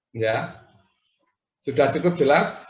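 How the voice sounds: Audible room echo surrounds a man's fairly high voice. He speaks slowly with ordinary pitch variation.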